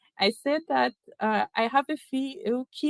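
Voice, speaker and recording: With ordinary pitch variation, the speaker talks in a non-native accent. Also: woman. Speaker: keynote speaker at tech event. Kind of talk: keynote talk. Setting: virtual event. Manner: hesitant, many fillers.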